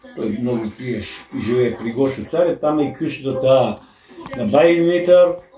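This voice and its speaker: At a fairly slow pace, a man with a medium pitch talks with ordinary pitch variation over noticeable background noise. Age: 80s+. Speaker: grandfather telling memories. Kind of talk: casual chat. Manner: halting.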